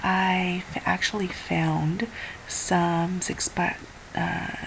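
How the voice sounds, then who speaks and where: A woman is whispering. Noticeable background noise can be heard. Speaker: craft youtuber. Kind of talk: casual vlog. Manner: halting.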